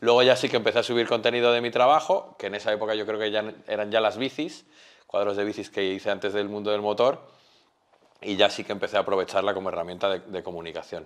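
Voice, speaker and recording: Speech races along at a very fast pace, its pitch varying in an ordinary way. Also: man, fairly low pitch for a man. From Spain. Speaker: painter; interviewee. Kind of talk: interview. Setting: artist's studio. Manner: halting, repeats words. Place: studio. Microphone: lapel.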